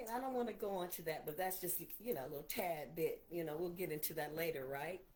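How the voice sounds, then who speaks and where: A woman talks with lively intonation and an animated tone. Audible room echo is present. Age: 60s. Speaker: preacher. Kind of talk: livestream sermon. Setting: livestream on laptop.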